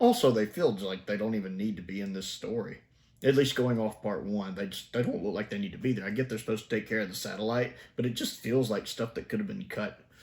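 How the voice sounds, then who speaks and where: The speaker has an animated tone, ordinary pitch variation, and a Southern US accent. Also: man, medium pitch for a man. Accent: Southern drawl. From US South. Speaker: TV review YouTuber. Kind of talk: casual review commentary. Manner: conversational, animated.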